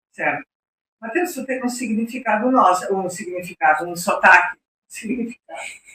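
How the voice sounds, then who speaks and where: With a southern Brazilian accent, a woman talks at a moderate pace in a fairly high pitch, her voice swinging very widely in pitch and greatly in loudness, in a dry, close sound with no echo. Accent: gaúcho Brazilian Portuguese. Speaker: podcast host. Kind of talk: podcast interview.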